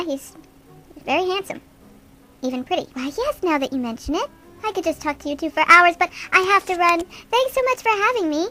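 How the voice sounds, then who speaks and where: In a put-on character voice, a female-sounding speaker goes extremely high in pitch, talking at a fairly quick pace with long, frequent pauses as faint music plays behind. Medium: audio drama. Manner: gushing, chatty.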